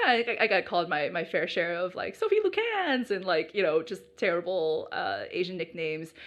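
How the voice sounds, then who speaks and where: A woman with an American accent speaks at a moderate pace with hardly any pauses, over noticeable background noise. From United States. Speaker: podcast guest. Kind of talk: casual interview chat. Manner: hesitant, many fillers.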